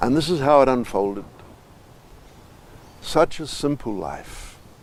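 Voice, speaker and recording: A man with an unremarkable speaking voice talks at a fairly slow pace. His pitch is fairly high and his intonation lively. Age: 60s. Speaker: spiritual teacher. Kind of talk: life story told to camera.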